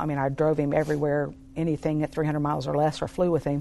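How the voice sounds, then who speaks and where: Speaking at a very fast pace, a woman has a very deep, low pitch. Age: 50s. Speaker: ministry team member. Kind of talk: casual interview. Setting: studio.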